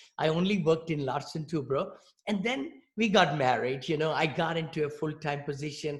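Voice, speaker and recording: Speaking at a fairly quick pace with an Indian accent, a man uses a fairly high pitch and ordinary pitch variation. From India, New Delhi. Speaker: real estate investor. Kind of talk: interview.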